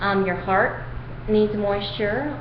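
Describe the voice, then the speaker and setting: Against noticeable background noise and audible room echo, a woman speaks at a fairly slow pace with a medium pitch. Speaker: video diarist with chronic illness. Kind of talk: personal video diary. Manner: halting, many fillers.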